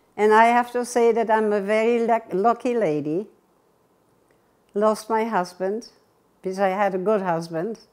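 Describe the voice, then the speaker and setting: A woman with a German accent speaks fairly slowly at a fairly high pitch. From Germany. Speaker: war survivor recounting life history. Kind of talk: oral history interview. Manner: halting.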